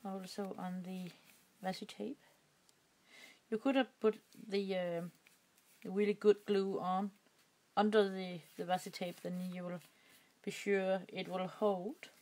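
A woman with a Danish accent speaks at a fairly slow pace and medium pitch, with fairly even intonation. Her loudness swings widely, and she leaves long, frequent pauses. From Denmark. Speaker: crafting YouTuber. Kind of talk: tutorial. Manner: halting.

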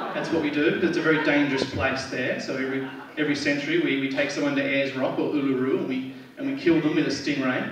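Delivered very fast in an Australian accent, the speech is monotone and flat, with audible room echo and noticeable background noise. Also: man, fairly high pitch for a man. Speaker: stand-up comedian. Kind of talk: stand-up comedy set. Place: stage.

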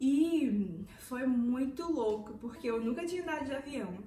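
A woman is speaking in a room with audible echo. Light background noise can be heard. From Recife, Pernambuco, Brazil. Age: 20s. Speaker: former au pair, vlogger. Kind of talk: casual talk to camera, personal story. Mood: warm, animated storytelling. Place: home room. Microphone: phone near.

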